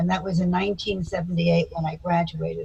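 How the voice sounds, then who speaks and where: Speaking with an American accent, the voice sounds somewhat breathy and keeps a fairly even intonation. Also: woman. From US South, Florida (Miami Beach). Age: 80s+. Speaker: psychotherapist. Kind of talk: interview.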